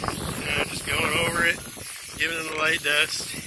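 The speech moves at a fairly slow pace. Loud background noise runs underneath. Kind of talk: casual tutorial narration. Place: garden. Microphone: phone near.

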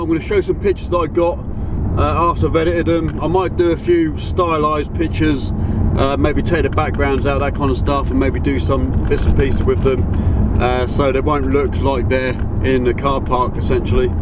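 Against loud background noise, the speech moves at a fairly quick pace, with a dry sound and no echo. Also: man. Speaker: photographer vlogger. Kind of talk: casual vlog chat. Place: car. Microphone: phone near.

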